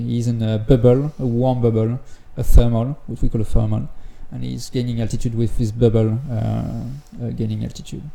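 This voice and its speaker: The man's tone is dark and mellow. He keeps to a moderate pace. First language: French. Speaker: gliding commentator. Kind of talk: live commentary. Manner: halting, many fillers.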